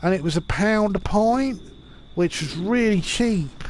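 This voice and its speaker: With a British accent, a man speaks at a high pitch and a fairly slow pace with ordinary pitch variation. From UK. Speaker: gamer streamer. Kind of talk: casual live stream chat. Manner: halting, repetitive.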